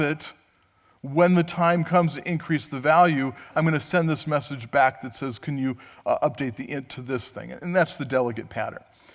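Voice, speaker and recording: A man talks in a normal speaking voice at a fairly high pitch, with ordinary pitch variation and a moderate pace. The recording is very clean, with a silent background. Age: 60s. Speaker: conference speaker. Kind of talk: tech conference talk. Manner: conversational, with fillers.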